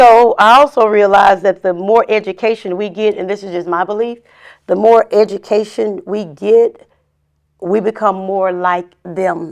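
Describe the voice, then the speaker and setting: In an ordinary speaking voice, a woman with an American accent talks at a fairly slow pace and medium pitch. Her intonation is fairly even, and the background is quiet. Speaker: licensed counselor and trauma researcher. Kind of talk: casual interview chat.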